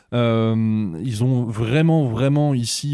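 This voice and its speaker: The recording is very clean, with a silent background. A man speaks in an ordinary speaking voice at medium pitch, with ordinary pitch variation. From France. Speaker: theme park youtuber. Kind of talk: casual chat.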